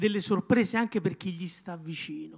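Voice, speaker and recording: Against a quiet background, a man speaks at a high pitch with ordinary pitch variation. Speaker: neurologist and author. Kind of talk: book presentation talk. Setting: stage with audience. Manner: halting. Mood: reflective, serious. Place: hall. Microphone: handheld.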